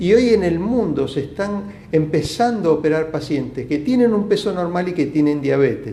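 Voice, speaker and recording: Speech runs at a moderate pace with hardly any pauses. Noticeable background noise and audible room echo are present. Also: man, fairly high pitch for a man, lively intonation. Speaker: bariatric surgeon. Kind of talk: live Q&A stream. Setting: live video stream from clinic.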